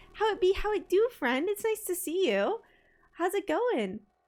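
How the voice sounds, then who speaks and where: Loud and at an extremely high pitch, a woman speaks at a moderate pace with very wide pitch swings. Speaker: streamer. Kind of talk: casual chat. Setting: live stream at desk. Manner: animated.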